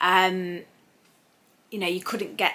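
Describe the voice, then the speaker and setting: A woman's medium-pitched voice with an English accent, monotone and flat, at a moderate pace. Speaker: sewing vlogger. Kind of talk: casual vlog chat. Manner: loud.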